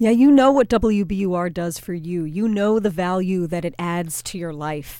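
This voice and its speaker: A woman's normal speaking voice at a moderate pace, with ordinary pitch variation and hardly any pauses. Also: medium pitch for a woman. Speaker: public radio staffer. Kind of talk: fundraising appeal.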